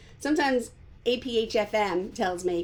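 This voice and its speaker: A woman with a Long Island accent. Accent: New York Long Island. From New York, Long Island. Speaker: art teacher. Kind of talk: live painting tutorial. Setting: home, live stream.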